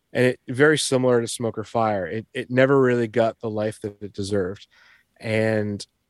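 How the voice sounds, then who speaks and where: The recording is very clean with a silent background, and the sound is dry and close with no echo. A man speaks in a plain, everyday voice, fairly low in pitch with fairly even intonation. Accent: American. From Boston. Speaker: record label owner. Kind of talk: casual chat.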